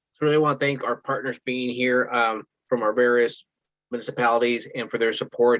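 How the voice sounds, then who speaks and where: Monotone, flat delivery from a man at medium pitch and a very fast pace. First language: Spanish. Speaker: school superintendent. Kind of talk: virtual town hall remarks. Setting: video call.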